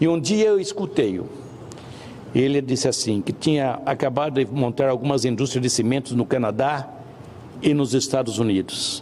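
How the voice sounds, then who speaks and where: A man with a medium pitch and ordinary pitch variation keeps a moderate pace as noticeable background noise carries on behind him. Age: 70s. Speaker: senator. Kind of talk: formal speech. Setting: senate plenary session.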